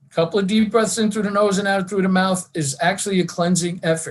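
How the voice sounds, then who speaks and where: At a fairly quick pace, a man speaks at a high pitch. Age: 70s. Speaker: wellness presenter, retired teacher and school administrator. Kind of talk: online wellness talk.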